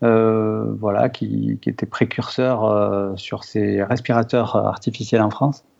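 A man speaks at a very slow pace yet with hardly any pauses. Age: 40s. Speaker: software developer. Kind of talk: interview. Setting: audio call from home. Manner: hesitant, many fillers.

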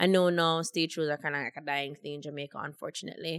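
A woman's voice, dry and close with no echo, on a very clean recording with a silent background. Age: 20s. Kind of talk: casual chat. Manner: animated, playful.

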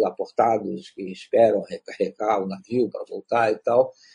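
A man's voice, dry and close with no echo. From Belém, Pará, Brazil. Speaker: writer and playwright. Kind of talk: interview. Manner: halting.

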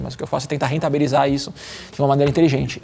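A man's voice over noticeable background noise. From Brazil, São Paulo. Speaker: marketing executive and lifestyle influencer. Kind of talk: casual chat. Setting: studio.

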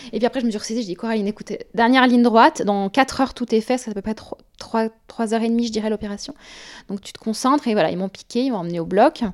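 A woman speaks at a very fast pace with a fairly high pitch. The sound is dry and close, with no echo. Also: ordinary pitch variation, big swings in loudness. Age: 30s. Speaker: guest with preventive mastectomy. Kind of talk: personal testimony.

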